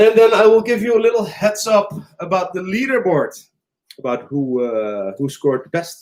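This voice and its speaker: A man's high voice with a Dutch accent, very wide pitch swings and a moderate pace. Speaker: quiz host. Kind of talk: online pub quiz hosting. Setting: live stream from a cafe. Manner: animated.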